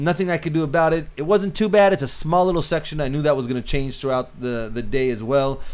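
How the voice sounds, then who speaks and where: Very fast delivery with ordinary pitch variation. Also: man. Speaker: cinematographer teaching filmmaking. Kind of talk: tutorial. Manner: halting, many repeated words.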